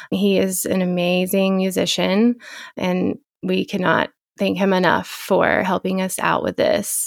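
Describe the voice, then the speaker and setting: A woman speaks with a West Texas accent at a fairly slow pace. Her loudness stays very even. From Texas Panhandle, small town. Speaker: podcast co-host, physical therapist assistant. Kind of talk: casual chat.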